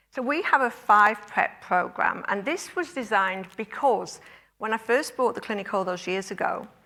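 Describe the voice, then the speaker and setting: With lively intonation and a bright, sharp tone, a woman speaks at a moderate pace in a fairly high pitch on a very clean recording with a silent background. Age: 60s. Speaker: clinic owner and conference speaker. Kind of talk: conference talk.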